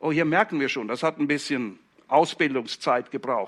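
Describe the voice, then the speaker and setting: A man's bright, sharp tone with ordinary pitch variation over a quiet background. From Switzerland, Zurich Oberland (Hinwil). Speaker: pastor. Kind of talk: sermon.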